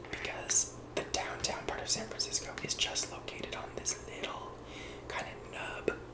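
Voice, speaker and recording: Whispering with an American accent over noticeable background noise. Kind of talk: ASMR map tour, casual talk to camera. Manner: whispered, soft-spoken.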